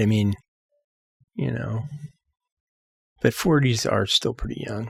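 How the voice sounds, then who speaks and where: A man with an American accent, somewhat breathy, at a fairly slow pace with long, frequent pauses. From US West Coast, San Francisco Bay Area. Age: 60s. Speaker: musician. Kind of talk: casual chat.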